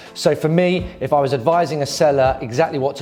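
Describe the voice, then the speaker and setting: With music in the background, a man with a British accent speaks fairly quickly at a fairly high pitch. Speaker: property auctioneer. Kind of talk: corporate explainer talk to camera giving advice.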